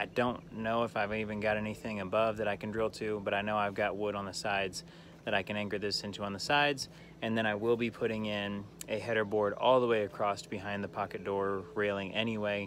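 In an ordinary speaking voice, a man talks at a fairly quick pace with fairly low pitch and fairly even intonation, the sound dry with no echo and light background noise present. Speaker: diy vlogger. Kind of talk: casual vlog chat. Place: garden. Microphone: phone near.

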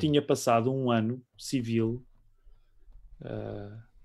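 In a European Portuguese accent, a man speaks very slowly in a dark, mellow tone on a very clean recording with a silent background. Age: 40s. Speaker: pastor and musician. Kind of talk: casual interview.

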